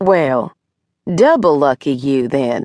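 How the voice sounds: Doing a put-on character voice, a woman speaks slowly at an extremely low pitch in a dark, mellow tone with big pitch swings, on a very clean recording with a silent background.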